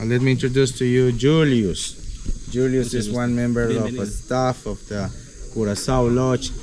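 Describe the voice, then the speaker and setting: Over audible room echo, a man talks at a moderate pace in a medium pitch, his intonation monotone and flat. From Peruvian Amazon, Iquitos region. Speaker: jungle tour guide. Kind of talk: casual chat.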